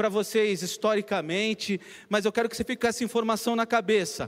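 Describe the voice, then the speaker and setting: In a very clean recording with a silent background, a man talks at a fairly quick pace in a high voice. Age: 40s. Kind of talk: sermon.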